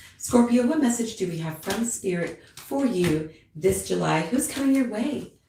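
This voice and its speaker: The intonation is lively throughout. There is audible echo from the room. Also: woman. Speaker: tarot reader. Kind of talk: live stream tarot reading. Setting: live stream at home with cat. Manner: casual, chatty.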